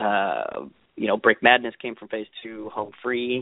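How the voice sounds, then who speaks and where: This man has an American accent. His pitch is medium. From US Southwest (Las Vegas). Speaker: actor. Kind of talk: casual interview chat.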